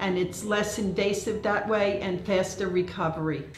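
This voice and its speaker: Amid noticeable background noise and audible room echo, a woman talks at a moderate pace and a medium pitch with fairly even intonation. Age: 70s. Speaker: patient. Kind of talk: testimony.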